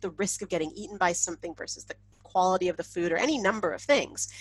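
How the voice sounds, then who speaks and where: Speaking at a fairly quick pace with a Canadian accent, a woman sounds animated and lets some vocal fry into her voice. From Canada. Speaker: insect ecologist, professor. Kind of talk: webinar talk. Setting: online webinar. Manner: casual, animated.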